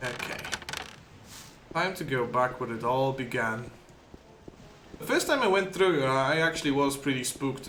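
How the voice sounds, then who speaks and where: With a non-native accent, a man at a medium pitch talks at a moderate pace with long, frequent pauses, over noticeable background noise and audible room echo. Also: ordinary pitch variation. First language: not English. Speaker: gaming streamer. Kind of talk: live gameplay commentary. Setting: live stream. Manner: casual, halting with repetitions.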